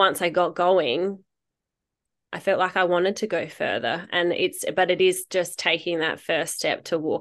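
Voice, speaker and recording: A woman talks at a moderate pace with a fairly low pitch and monotone, flat intonation. The background is quiet. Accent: Australian. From rural South Australia. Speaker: mother and ultra runner. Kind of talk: interview testimony.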